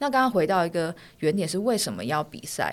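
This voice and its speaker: A woman at a moderate pace with very wide pitch swings, on a very clean recording with a silent background. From Taiwan. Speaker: fashion designer and author. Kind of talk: casual interview. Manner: soft-spoken.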